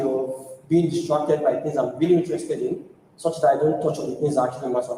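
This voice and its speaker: Amid noticeable background noise and audible room echo, a man with a fairly high pitch talks at a fairly quick pace with fairly even intonation. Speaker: tech community speaker. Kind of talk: conference talk. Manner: fast.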